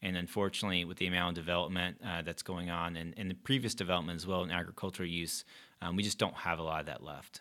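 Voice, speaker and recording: A man with an American accent speaks at a very fast pace in a very deep, low pitch, his tone bright and sharp and his intonation fairly even, on a very clean recording with a silent background. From North Carolina, Gastonia. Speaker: environmental nonprofit leader. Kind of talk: interview.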